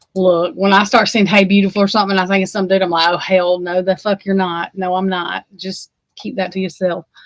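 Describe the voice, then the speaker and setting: An animated woman with an Alabama accent at a fairly quick pace, medium pitch, in a dry, close sound with no echo. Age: 40s. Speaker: livestream host. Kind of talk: casual livestream chat.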